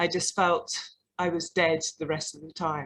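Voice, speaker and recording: A woman in a London accent speaks fairly slowly in a flat monotone at a fairly low pitch. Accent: English (London), noticeable. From London, England. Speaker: artist and arts practitioner. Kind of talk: panel talk. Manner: hesitant, with fillers.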